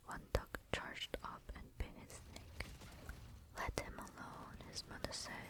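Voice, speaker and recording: Very slow whispering comes through over noticeable background noise. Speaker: ASMR creator. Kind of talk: whispered ASMR book reading. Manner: whispered, soft.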